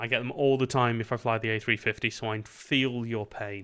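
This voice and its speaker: A British accent at a moderate pace, with monotone, flat intonation. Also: man. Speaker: streamer and virtual air traffic controller. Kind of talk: live stream chat and radio control. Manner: casual, chatty.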